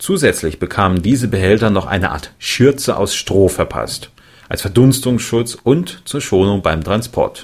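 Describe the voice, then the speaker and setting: A man talks at a fairly slow pace in a normal speaking voice. His medium pitch carries lively intonation. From Thuringia, Germany (Erfurt). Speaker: podcast host. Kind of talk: casual chat and interview; scripted narration.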